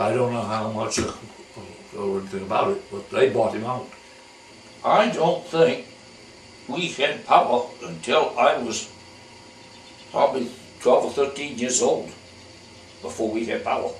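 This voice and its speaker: Over noticeable background noise and audible room echo, the speaker uses lively intonation at a moderate pace, broken by long, frequent pauses. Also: man, medium pitch for a man. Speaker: elderly local resident interviewed about town history. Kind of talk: oral history interview. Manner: halting, repetitive phrasing.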